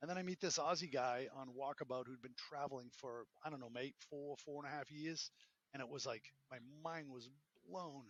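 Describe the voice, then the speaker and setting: A man's fairly high-pitched voice with a Boston accent. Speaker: entrepreneur and professor. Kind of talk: interview. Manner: animated.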